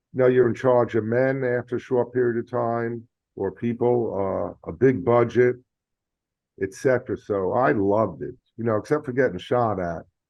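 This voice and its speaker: A man with a New York accent talks at a moderate pace. He leaves long, frequent pauses. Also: medium pitch for a man, fairly even intonation. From New York, the Bronx. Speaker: retired Marine officer, board director. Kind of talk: podcast interview.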